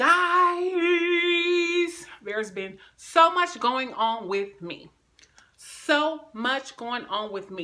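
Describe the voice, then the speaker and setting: Her voice is raised and projected. The woman's pitch moves in very wide swings. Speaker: video blogger. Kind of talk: casual vlog talk. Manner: loud; animated.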